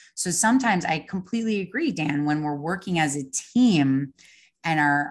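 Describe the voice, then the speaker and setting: Over a quiet background, a woman in a New York accent speaks at a moderate pace with a very deep, low pitch. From Long Island, New York. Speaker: interior designer. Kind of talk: casual interview.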